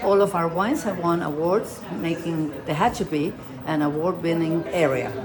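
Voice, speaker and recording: A woman's fairly low voice with a Spanish accent, at a moderate pace with ordinary pitch variation, plus audible room echo and noticeable background noise. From Argentina. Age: 80s+. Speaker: vineyard owner. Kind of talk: casual interview.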